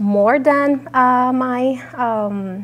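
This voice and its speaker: A woman with a Puerto Rican accent and ordinary pitch variation. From Puerto Rico. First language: Spanish. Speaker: entrepreneur and soil scientist. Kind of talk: presentation talk. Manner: halting, many fillers.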